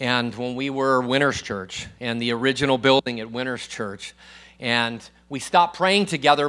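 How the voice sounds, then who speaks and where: A loud man at a moderate pace, with a bright, sharp tone. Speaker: guest preacher. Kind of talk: sermon. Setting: church with congregation.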